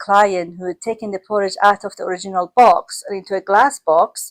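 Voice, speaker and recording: Talking at a fairly quick pace, a woman with a non-native accent and a medium pitch sounds dry and close, with no echo. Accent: foreign accent in English. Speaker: care business owner. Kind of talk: casual chat.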